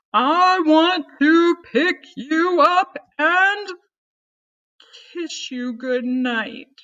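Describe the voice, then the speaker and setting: In a put-on character voice at an extremely high pitch, a woman speaks at a very slow pace with long, frequent pauses. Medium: read story. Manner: lumbering, puffing.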